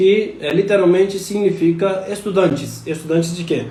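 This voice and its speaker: Amid noticeable background noise and audible room echo, a man with a high pitch talks with fairly even intonation. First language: not Portuguese (speaking Portuguese). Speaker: scholar of religion giving talk. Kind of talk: live stream lecture. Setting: Instagram live stream. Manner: halting, many fillers.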